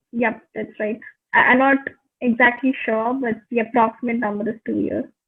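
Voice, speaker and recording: Speaking at a moderate pace, a woman with a Tamil accent has a fairly high pitch and a monotone, flat intonation. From India, Pondicherry. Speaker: English tutor. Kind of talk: English practice video call conversation. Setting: video call.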